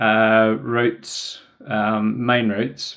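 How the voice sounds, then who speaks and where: A man with a New Zealand accent speaks at a very slow pace in a medium-pitched voice. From New Zealand, Wellington. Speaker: trail runner and adventurer. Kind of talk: casual interview. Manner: hesitant, many fillers.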